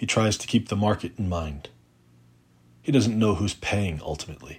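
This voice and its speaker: This is a man's voice. It sounds somewhat breathy. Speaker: poet. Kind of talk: poetry reading, reading aloud a protest poem. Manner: measured, deliberate, rhythmic.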